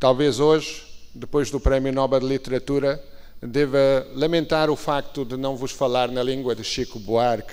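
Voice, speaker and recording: The man's medium pitch holds to a monotone, flat intonation. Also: moderate pace. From Portugal. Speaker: ambassador. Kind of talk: formal conference speech. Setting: stage at conference. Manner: formal.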